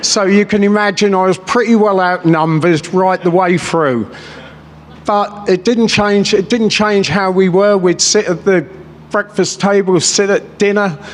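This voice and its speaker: A man's high-pitched voice at a fairly slow pace, very even in loudness with fairly even intonation, over noticeable background noise. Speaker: businessman, rally speaker. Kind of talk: political rally speech. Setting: stage with audience. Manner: off the cuff, passionate.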